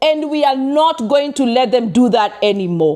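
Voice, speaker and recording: In a Kenyan accent, a woman talks in an animated tone, her pitch swinging very widely. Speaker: vlogger. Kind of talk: personal advice vlog.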